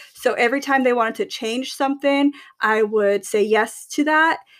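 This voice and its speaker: Hers is an unremarkable speaking voice, with ordinary pitch variation. The woman keeps to a moderate pace. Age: 30s. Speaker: podcast co-host. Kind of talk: casual chat.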